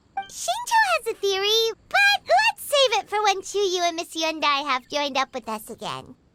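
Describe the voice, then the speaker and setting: Music plays behind a put-on character voice, squeaky and bubbly at an extremely high pitch. The delivery moves at a moderate pace with hardly any pauses. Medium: video game. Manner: bubbly, fast.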